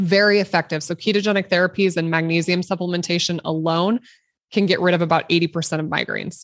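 With a Midwestern US accent, a woman with a fairly low voice speaks at a very fast pace in monotone, flat intonation, her dry, close sound carrying no echo against a quiet background. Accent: US Midwest. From Nebraska. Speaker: obstetrician-gynecologist. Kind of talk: interview.

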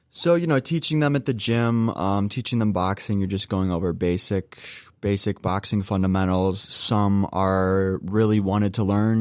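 A man with an American accent speaks in an unremarkable speaking voice, fairly low in pitch. His intonation is fairly even, and the background is quiet. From US Midwest, northeast Ohio (Cleveland area). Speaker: podcast editor, former boxing coach. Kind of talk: casual interview.

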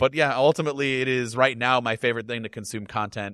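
A man in an ordinary speaking voice, fairly quick, with ordinary pitch variation and a dry, close sound free of echo. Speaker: tech video creator. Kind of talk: casual chat.

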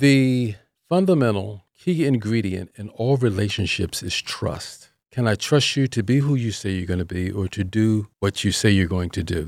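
In a plain, everyday voice, a man speaks at a moderate pace with an American accent and a fairly low pitch. His intonation is lively, and the recording is very clean with a silent background. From Philadelphia. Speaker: relationship coach. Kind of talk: radio interview.

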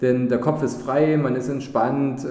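Against noticeable background noise and audible room echo, a man talks at a fairly slow pace with ordinary pitch variation. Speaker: podcast host, investment advisor. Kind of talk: interview; podcast intro. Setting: hotel manager's office.

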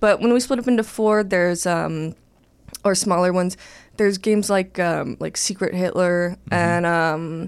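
A woman in a Californian accent speaks fairly slowly at medium pitch with ordinary pitch variation, on a very clean recording with a silent background. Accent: General American (California). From Los Angeles, North Hollywood. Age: 20s. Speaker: comedian. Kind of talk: casual chat.

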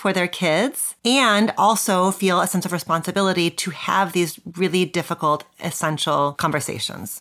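A woman with an ordinary speaking voice and medium pitch talks at a moderate pace with ordinary pitch variation on a very clean recording with a silent background. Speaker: podcast host, psychologist and professor. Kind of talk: interview, intro.

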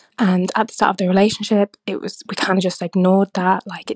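A woman's ordinary speaking voice, medium in pitch, at a fairly quick pace, with a dry, close sound and no echo. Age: 20s. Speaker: listener with a dilemma. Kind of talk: recorded voice message.

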